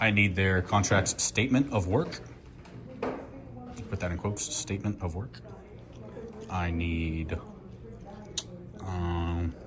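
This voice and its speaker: Very slowly and with long, frequent pauses, a man speaks in a very deep, low voice with ordinary pitch variation over noticeable background noise. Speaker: first amendment auditor. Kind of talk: heated confrontation and records request. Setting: hospital lobby, filmed on camera. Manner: assertive, argumentative.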